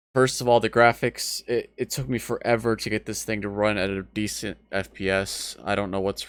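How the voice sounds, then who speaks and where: In a very clean recording with a silent background, a man with a fairly low pitch talks at a moderate pace in a bored tone. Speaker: gaming YouTuber. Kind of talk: let's play commentary. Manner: bored, flat.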